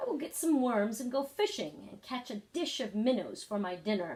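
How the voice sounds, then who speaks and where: A woman in a put-on character voice, high-pitched, at a moderate pace. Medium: read story. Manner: prim, proper speech.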